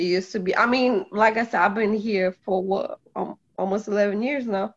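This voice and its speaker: A woman speaks at a moderate pace with a Polish accent, her medium-pitched voice keeping a fairly even intonation. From Poland. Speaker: guest. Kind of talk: casual chat.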